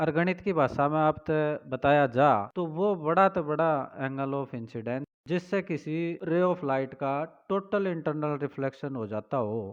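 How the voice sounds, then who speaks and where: A man with a fairly high voice speaks in a Haryana accent. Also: ordinary pitch variation. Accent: Haryanvi. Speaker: teacher. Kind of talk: physics lecture.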